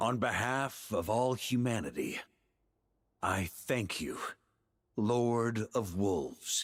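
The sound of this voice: A man puts on a character voice at a slow pace, fairly low in pitch. His intonation is lively, with a slightly husky edge.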